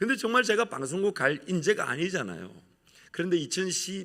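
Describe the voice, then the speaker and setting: A man speaks in an animated tone at a fairly quick pace. He has a strong Gyeongsang accent. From Gyeongsang region, South Korea. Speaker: pastor. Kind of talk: sermon.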